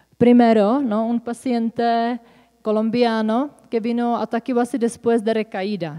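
A woman with a Czech accent speaks at a fairly slow pace in a dark, mellow tone. The background is quiet. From Czech Republic. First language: Czech (speaking Spanish). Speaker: psychotherapist; presenter. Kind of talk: conference talk. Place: hall. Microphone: podium.

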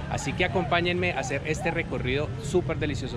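Music plays in the background as a man talks at a fairly quick pace, the sound dry with no echo. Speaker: travel food vlogger. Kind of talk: casual vlog chat. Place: street. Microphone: phone near.

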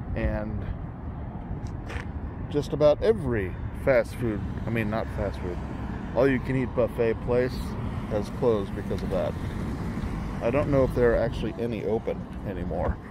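Amid loud background noise, a man talks at a moderate pace with long, frequent pauses, the sound dry with no echo. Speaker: vlogger. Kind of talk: casual vlog chat. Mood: nostalgic, relaxed. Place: street. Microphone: phone near.

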